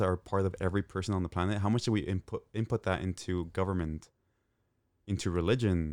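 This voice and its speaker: Fairly quick in pace, a man speaks in a dry, close sound with no echo on a very clean recording with a silent background. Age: 30s. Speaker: podcast guest. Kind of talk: casual chat.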